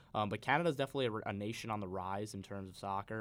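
Speaking very fast with an American accent, a man uses a fairly low pitch on a very clean recording with a silent background. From Long Island, New York. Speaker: student sports broadcaster, guest pundit. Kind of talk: sports talk radio discussion. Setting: radio studio.

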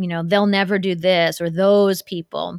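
A woman with a Midwestern American accent speaks at a moderate pace and a medium pitch. Her intonation is monotone and flat, and the sound is dry and close with no echo. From US Midwest, Ohio. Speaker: cross-cultural consultant and author. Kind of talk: interview conversation.

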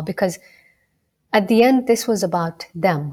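In a Somali accent, a woman with a dark, mellow tone talks at a moderate pace with ordinary pitch variation. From Kenya, Rift Valley. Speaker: medical student and former medical interpreter. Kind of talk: interview.

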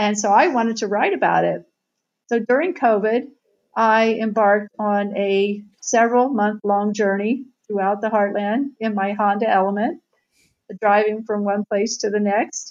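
Speaking at a moderate pace with an American accent, a woman has an unremarkable speaking voice, fairly high in pitch, with fairly even intonation. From Southern Ohio, US Midwest. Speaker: author and tech journalist. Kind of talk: interview.

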